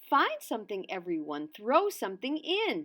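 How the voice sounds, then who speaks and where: A woman puts on a character voice, fairly high in pitch, at a moderate pace. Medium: read story.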